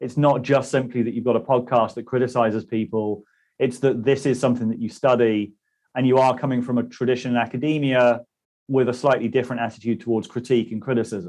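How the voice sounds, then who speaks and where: A man talks very fast in a British accent. His pitch sits in the medium range, and his intonation stays flat and monotone. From British Isles. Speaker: interviewer, channel host. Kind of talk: interview conversation.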